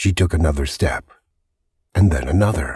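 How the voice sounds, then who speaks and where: A somewhat breathy man's voice, dark and mellow in tone, with very wide pitch swings. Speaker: voice actor. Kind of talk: audiobook narration, suspense thriller. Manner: gripping, suspenseful.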